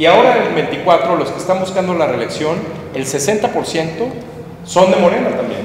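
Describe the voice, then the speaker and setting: Over light background noise and audible room echo, the speech moves at a moderate pace with ordinary pitch variation and long, frequent pauses. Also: man, high pitch for a man. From Mexico. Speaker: political analyst. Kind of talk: public talk. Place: hall.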